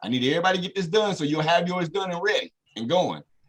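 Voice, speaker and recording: A man with a high-pitched voice talks at a fairly quick pace with ordinary pitch variation as music plays in the background. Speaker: trading trainer. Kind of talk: tutorial. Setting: video call. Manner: fast; direct.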